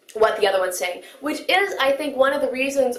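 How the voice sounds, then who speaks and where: A woman with an American accent talks very fast, with audible room echo and noticeable background noise. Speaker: anime commentator. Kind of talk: video commentary.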